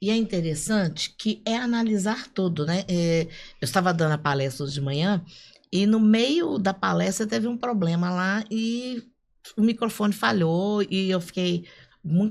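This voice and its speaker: Her pitch is medium, and her intonation is lively as the woman speaks at a moderate pace. The recording is very clean with a silent background. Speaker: podcast co-host, speaker. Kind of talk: casual podcast conversation. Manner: animated.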